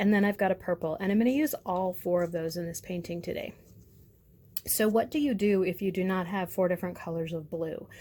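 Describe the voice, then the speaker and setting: Her tone is dark and mellow, her pitch medium. The woman talks at a fairly quick pace with ordinary pitch variation. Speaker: art teacher. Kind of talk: tutorial. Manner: casual.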